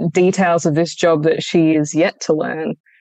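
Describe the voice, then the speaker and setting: In an Australian accent, the speaker talks at a very slow pace with fairly even intonation, the sound dry and close with no echo. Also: woman. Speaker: actress. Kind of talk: interview. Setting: video call.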